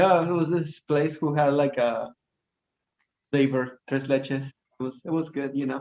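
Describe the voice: A man at a fairly slow pace with fairly even intonation. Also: medium pitch for a man.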